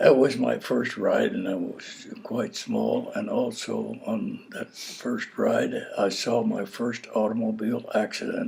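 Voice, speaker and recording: With an American accent, a man speaks at a very slow pace over noticeable background noise. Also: hardly any pauses. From US Midwest, southeast Missouri. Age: 80s+. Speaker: oral history interviewee. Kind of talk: oral history interview. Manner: halting.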